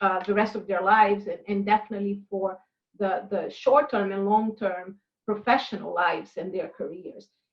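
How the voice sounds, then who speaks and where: A woman is speaking. She has a non-native accent. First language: not English. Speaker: university international programs director. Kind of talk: interview. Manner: halting, many fillers.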